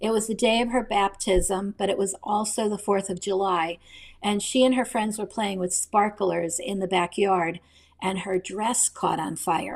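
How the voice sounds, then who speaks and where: In an American accent, a woman with a plain, everyday voice speaks at a fairly slow pace with fairly even intonation. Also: medium pitch for a woman. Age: 60s. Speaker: novelist. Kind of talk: interview.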